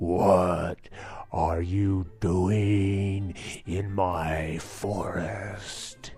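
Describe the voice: With clear music in the background, a man uses a put-on character voice, very deep and low in pitch, at a very slow pace.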